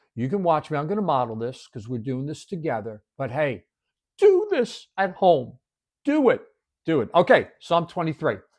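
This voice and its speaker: In a quiet background, a man speaks at a moderate pace with a fairly high pitch. His pitch swings very widely. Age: 60s. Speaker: devotional video host. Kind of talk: devotional teaching. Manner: conversational.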